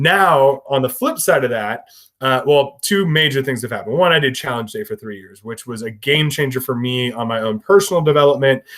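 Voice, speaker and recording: Here a man talks at a fairly quick pace with hardly any pauses, his medium-pitched voice animated in tone. His intonation is lively and his loudness swings widely. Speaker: high school math teacher and podcast co-host. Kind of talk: casual chat. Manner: loud and boisterous.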